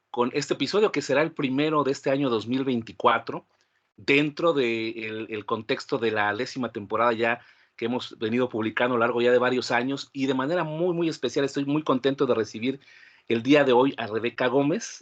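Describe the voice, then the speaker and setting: Against a quiet background, a man with a medium-pitched, unremarkable speaking voice talks at a moderate pace with ordinary pitch variation. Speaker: podcast host. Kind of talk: podcast host introduction.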